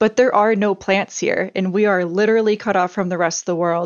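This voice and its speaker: Her intonation fairly even, a woman speaks in a medium pitch. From US Midwest. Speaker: plant scientist. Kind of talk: interview.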